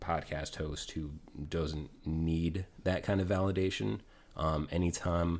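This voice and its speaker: This man's voice sits at a very deep, low pitch. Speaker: podcast host guest. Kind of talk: casual chat. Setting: remote call.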